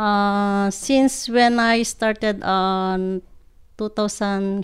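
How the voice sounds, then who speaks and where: A woman speaks very slowly with a Filipino accent and medium pitch. Her intonation is fairly even, and the recording is very clean with a silent background. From Philippines, Ilocos Norte. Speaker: hotel housekeeper. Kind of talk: podcast interview. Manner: halting.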